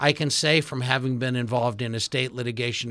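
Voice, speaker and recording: In a normal speaking voice, a man talks at a moderate pace and medium pitch on a very clean recording with a silent background. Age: 60s. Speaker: radio host and attorney. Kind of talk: radio interview. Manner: formal.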